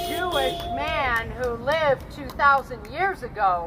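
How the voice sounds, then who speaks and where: Music plays in the background as a woman with a high pitch speaks in a raised, projected voice with lively intonation. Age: 60s. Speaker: pastor. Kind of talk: protest speech.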